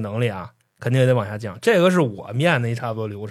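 Very fast pace and lively intonation from a man. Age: 30s. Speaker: podcast co-host. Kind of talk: casual chat.

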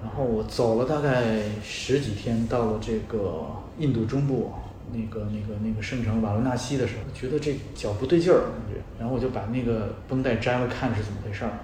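A man talks at a fairly quick pace and medium pitch. There is audible room echo and noticeable background noise. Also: ordinary pitch variation. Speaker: travel writer. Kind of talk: casual chat. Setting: in-person interview. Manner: halting.

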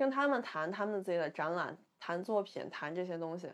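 With a Beijing accent, the speaker talks at a moderate pace with lively intonation against a quiet background. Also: woman. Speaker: artist. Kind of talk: casual chat.

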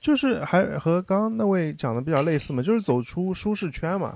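Very wide pitch swings at a fairly quick pace. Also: man. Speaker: former overseas student. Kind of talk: casual chat.

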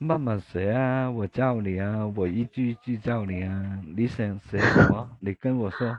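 At a fairly slow pace, a man with a fairly low pitch speaks in a Cantonese accent. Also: ordinary pitch variation, hardly any pauses. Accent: Cantonese-accented Mandarin. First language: Cantonese (speaking Chinese). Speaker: livestream host. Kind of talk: casual chat. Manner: halting.

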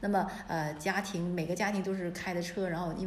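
A woman talks at a medium pitch and a moderate pace. Audible room echo and noticeable background noise surround her voice. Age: 40s. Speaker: antique shop owner. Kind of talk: casual chat.

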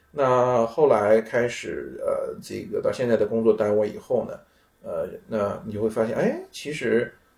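Fairly slow speech from a man, with big swings in loudness and noticeable background noise. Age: middle-aged. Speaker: researcher in computing and economics. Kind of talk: casual chat. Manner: halting, many fillers.

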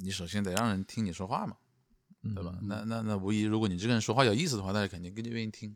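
A man speaks at a very fast pace in a Changsha accent with fairly even intonation. The recording is very clean, with a silent background. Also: fairly low pitch for a man. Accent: Changsha-accented Mandarin. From Changsha, Hunan. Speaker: stand-up comedian and vlogger. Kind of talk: casual chat. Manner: stammering repetitions.

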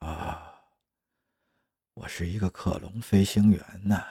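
In a put-on character voice, a man speaks slowly at a low pitch, his dark, mellow tone carrying a husky, rough edge and vocal fry, with fairly even intonation on a very clean recording with a silent background.

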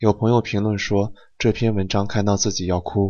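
This man has a fairly low pitch. He speaks at a moderate pace. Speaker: podcast host. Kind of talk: casual chat. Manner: soft-spoken.

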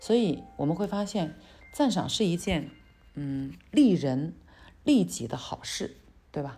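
Over music in the background, a woman speaks at a very slow pace with long, frequent pauses and audible room echo. Her fairly low pitch swings very widely. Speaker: podcast teacher. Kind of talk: lecture. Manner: casual, filler-heavy.

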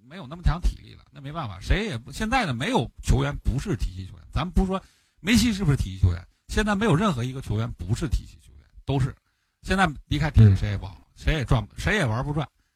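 Words tumble out at a very fast pace with vocal fry, the loudness rising and falling sharply and the pitch swinging very widely. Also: man, fairly high pitch for a man, very clean recording, silent background. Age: adult with a job. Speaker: football podcast co-host, analyst. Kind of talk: casual chat.

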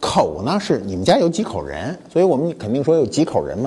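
At a moderate pace, a man speaks in an animated tone with very wide pitch swings. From Beijing. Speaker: talk show host, museum founder. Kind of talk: casual monologue talk show. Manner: colloquial, animated.

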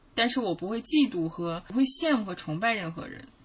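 Noticeable background noise surrounds a woman talking at a moderate pace. Her pitch swings very widely. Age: 30s. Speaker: podcast co-host. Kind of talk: casual chat.

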